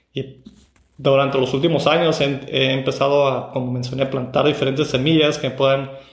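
A man speaks at a moderate pace and medium pitch in a monotone, flat intonation, with audible room echo. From Mexico, Tijuana. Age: 30s. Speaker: podcast host. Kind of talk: solo podcast monologue. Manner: halting, with fillers and repeated words.

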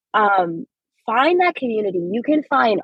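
With lively intonation, a woman speaks at a moderate pace and a fairly high pitch. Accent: Californian. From Los Angeles, US. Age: 20s. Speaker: teacher and doctoral student. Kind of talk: interview. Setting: in a car in traffic.

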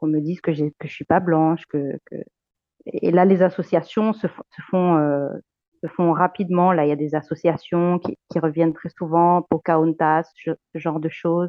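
At a moderate pace, a woman speaks with fairly low pitch and fairly even intonation. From Luxembourg, Argentine heritage. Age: 30s. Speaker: teacher. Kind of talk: interview testimony. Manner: hesitant, repeats words.

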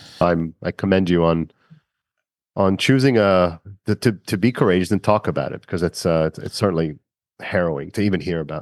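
Over a quiet background, a man talks at a fairly quick pace in a very deep, low pitch. His pitch varies in an ordinary way, and the sound is dry and close with no echo. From Israel. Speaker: podcast host and business consultant. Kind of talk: interview. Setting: video call. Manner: halting.

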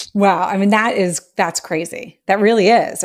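A woman with an American accent speaks at a moderate pace in a medium pitch, an ordinary speaking voice. The recording is very clean, with a silent background. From United States. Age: 40s. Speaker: podcast host. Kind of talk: casual chat. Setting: live audio room. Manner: excitable.

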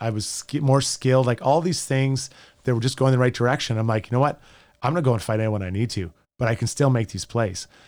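A man speaks at medium pitch with an Albertan accent and ordinary pitch variation. The recording is very clean, with a silent background. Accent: Canadian (Alberta). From Edmonton, Alberta, Canada. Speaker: former pro hockey player, sports radio host. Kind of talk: casual interview chat. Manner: animated storytelling.

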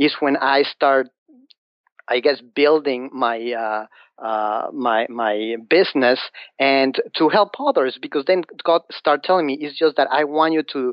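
A man with a fairly high pitch and ordinary pitch variation talks at a fairly slow pace. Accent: Mexican. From Mexico City. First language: Spanish. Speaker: financial advisor. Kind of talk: interview. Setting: phone call. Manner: halting.

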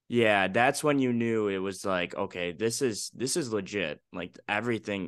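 A man's fairly low voice with lively intonation, a moderate pace and hardly any pauses against a quiet background. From Chicago South Side. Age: 20s. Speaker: student radio podcaster. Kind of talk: casual chat. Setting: video call.

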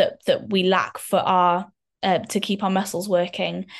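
This is a woman speaking at a medium pitch. The background is quiet. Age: 20s. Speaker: person with muscular dystrophy. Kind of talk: casual chat.

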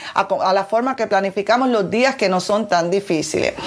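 At a moderate pace, a woman talks in a plain, everyday voice with ordinary pitch variation. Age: 40s. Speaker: weight-loss coach and podcast host. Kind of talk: motivational solo podcast talk. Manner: warm, conversational.

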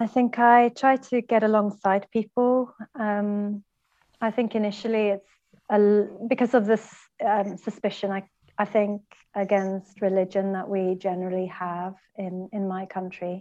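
In a Swedish accent, a woman talks at a fairly slow pace and medium pitch, with monotone, flat intonation against a quiet background. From Sweden. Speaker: anti-trafficking worker and church planter. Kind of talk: interview.

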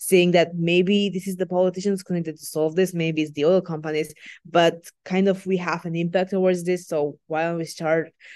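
A woman with a Macedonian accent speaks at a moderate pace against a quiet background. Her voice is fairly low, with monotone, flat intonation. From North Macedonia. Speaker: student climate activist. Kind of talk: interview.

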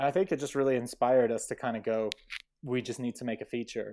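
A man speaks in a normal speaking voice with an American accent. His pitch is medium and his pace fairly quick. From US, New Mexico. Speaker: filmmaker. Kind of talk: casual chat.

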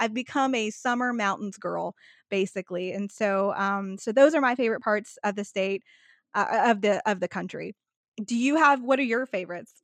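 A woman's fairly high voice in a Texan accent, moderate pace and ordinary pitch variation, with a dry, close sound free of echo over a quiet background. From Texas. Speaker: vacation planner. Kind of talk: casual interview chat.

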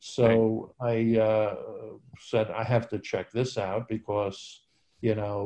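Speaking at a fairly slow pace, a man with an American accent uses a plain, everyday voice at a medium pitch. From New York. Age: 60s. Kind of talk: interview.

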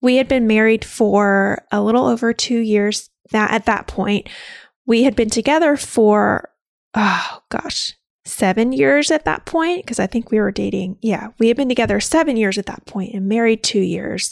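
Lively intonation marks an ordinary speaking voice at a moderate pace. The recording is very clean with a silent background, dry and close with no echo. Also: woman, fairly high pitch for a woman. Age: 30s. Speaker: podcast host and labor nurse. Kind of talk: solo podcast, personal birth story. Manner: casual, conversational with laughs.

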